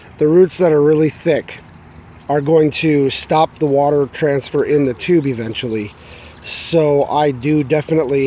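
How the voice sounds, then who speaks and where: Noticeable background noise runs under this clip. A man talks at a fairly slow pace. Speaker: hobby gardener. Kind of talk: casual video walkthrough. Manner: halting, many fillers.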